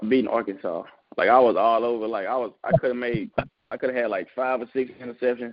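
Speaking very fast with a Southern US accent, a man keeps his intonation fairly even. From Mississippi. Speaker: football prospect. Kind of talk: interview.

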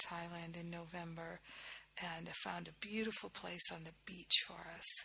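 With an American accent, a woman talks at a moderate pace in a fairly low pitch, her tone bright and sharp with vocal fry. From US Northeast (Rhode Island). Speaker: spiritual teacher, podcast host. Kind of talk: spiritual teaching talk. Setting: recording from abroad on vacation.

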